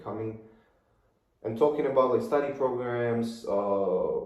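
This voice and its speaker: With audible room echo, a man talks at a medium pitch and uses ordinary pitch variation. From Kazakhstan. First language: Russian and Kazakh. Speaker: podcast guest, young finance professional. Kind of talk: casual interview chat. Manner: hesitant with fillers.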